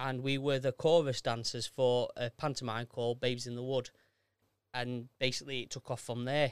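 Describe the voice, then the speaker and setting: A man with a Yorkshire accent, medium in pitch and flat in intonation, at a moderate pace, with a dry, close sound and no echo. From South Yorkshire, Sheffield area. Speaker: amateur theatre performer. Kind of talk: casual chat.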